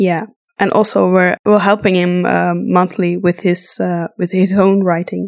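A woman's fairly low, slightly mellow voice with vocal fry, little pitch movement, and a fairly slow pace.

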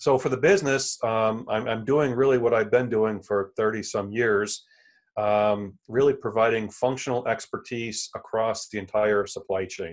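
A man speaks with an American accent at a medium pitch and a moderate pace. His intonation is fairly even, and the background is quiet. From central New York, Elmira. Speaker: supply chain consultant. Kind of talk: interview.

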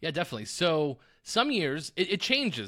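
On a very clean recording with a silent background, a man with an American accent speaks in a bright, sharp tone. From Arizona, Tucson. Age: young. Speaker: sports betting analyst. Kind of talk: casual interview.

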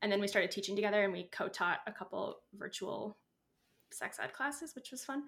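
A woman talks with an ordinary speaking voice. Her pitch variation is ordinary. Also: medium pitch for a woman, fairly quick pace. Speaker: sex educator. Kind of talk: casual chat.

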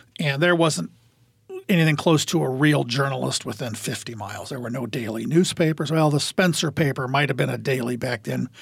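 Speaking with an Upper Midwest accent, a man at medium pitch moves at a fairly quick pace with vocal fry and ordinary pitch variation. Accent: Upper Midwest American. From Iowa, small town. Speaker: high school sports media specialist. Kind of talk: casual chat.

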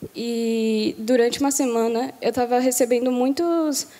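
The speaker is a woman with a high pitch. Her pitch varies in an ordinary way. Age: 18. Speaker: baptism candidate. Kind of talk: testimony. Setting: church.

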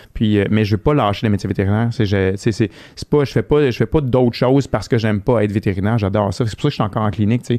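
Over a quiet background, a man with a fairly low pitch and dark, mellow tone talks at a very fast pace with hardly any pauses. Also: ordinary pitch variation. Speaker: veterinarian. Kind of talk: casual interview chat. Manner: loud.

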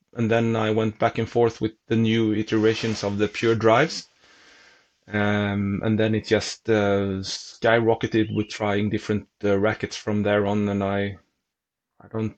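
A man with a Swedish accent speaks at a fairly slow pace in a fairly low pitch, his intonation monotone and flat, against a quiet background. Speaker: tennis reporter and racquet reviewer. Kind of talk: casual chat.

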